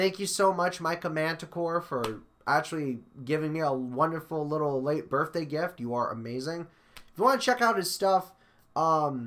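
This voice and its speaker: A man at a moderate pace with lively intonation. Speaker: vlogger. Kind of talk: casual vlog chat. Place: home room.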